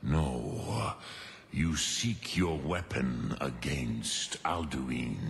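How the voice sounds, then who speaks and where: Putting on a character voice, a man growls at a very slow pace in a very deep, low pitch, with clear echo and clear background noise. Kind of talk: archaic mythic speech with dragon-tongue words. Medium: video game. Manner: slow, grave, musing.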